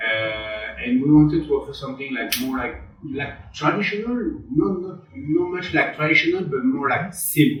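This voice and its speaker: Speaking in a French accent, a man holds a moderate pace with ordinary pitch variation. Audible room echo and noticeable background noise fill the recording. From western France. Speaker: chef and restaurant owner. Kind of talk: interview. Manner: halting, many repeated words and fillers.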